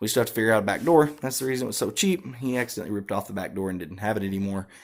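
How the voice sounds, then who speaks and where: On a very clean recording with a silent background, a man with an Arkansas accent talks at a very fast pace in a fairly low pitch, his pitch variation ordinary. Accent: southern US (Arkansas). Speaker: car audio hobbyist. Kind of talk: casual walkaround vlog. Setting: shop / garage, truck walkaround. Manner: hesitant, many fillers.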